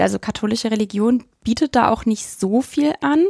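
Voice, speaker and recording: A woman's plain, everyday voice, fairly high in pitch, at a fairly slow pace, in a very clean recording with a silent background and a dry, close sound with no echo. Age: 20s. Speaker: university student, trainee primary school teacher. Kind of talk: interview conversation.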